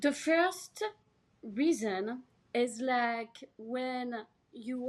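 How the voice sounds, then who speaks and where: A high-pitched woman's voice with a French accent. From France, Paris. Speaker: healer and actress. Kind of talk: podcast interview.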